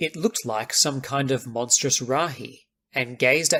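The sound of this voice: The surroundings are quiet. An unforced reading voice moves through ordinary pitch variation.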